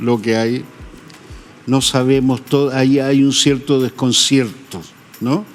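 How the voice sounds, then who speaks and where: With music in the background, a man talks at a fairly slow pace and a fairly high pitch. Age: 80s+. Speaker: photographer. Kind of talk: interview. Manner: hesitant.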